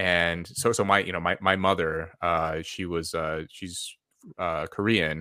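On a very clean recording with a silent background, a man with a Californian accent speaks fairly slowly in a very deep, low voice, his tone bright and sharp and his intonation fairly even. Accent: Californian American. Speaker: social psychologist and air force veteran. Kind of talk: podcast interview. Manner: halting, many fillers and repetitions.

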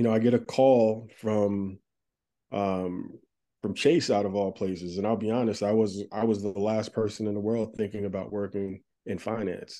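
Over a quiet background, a man with an American accent speaks in a dark, mellow tone with fairly even intonation. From New Jersey, US. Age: 40s. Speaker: marketing executive. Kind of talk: casual interview.

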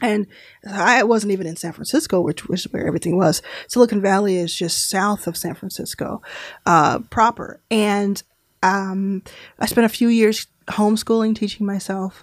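This woman has a medium-pitched, plain, everyday voice. She talks at a moderate pace with fairly even intonation. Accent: American. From Texas, Dallas. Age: 30s. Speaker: venture capitalist. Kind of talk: interview.

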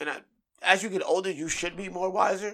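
The background is silent in this very clean recording. A man does the talking. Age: 20s. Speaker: stand-up comedian and voice actor. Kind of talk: casual chat.

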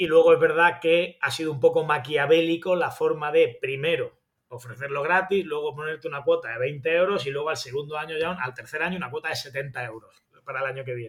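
A man talks at a fairly quick pace with a fairly high pitch. His loudness swings widely. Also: fairly even intonation. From Spain, Granada. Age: 40s. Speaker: sports journalist. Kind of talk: interview.

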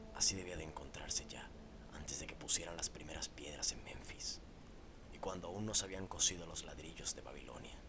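The whispering runs at a fairly quick pace, with noticeable background noise behind it. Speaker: horror story narrator. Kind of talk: scripted narration of a horror story, read aloud as a first-person ghost tale. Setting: studio podcast recording. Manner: solemn, formal, gravely expressive storytelling tone.

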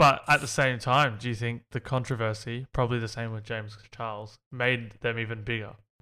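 In a very clean recording with a silent background, a man with an Australian accent and a medium pitch speaks fairly quickly in a monotone, flat intonation with a bright, sharp tone and hardly any pauses. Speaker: gaming podcast host. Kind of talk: casual chat.

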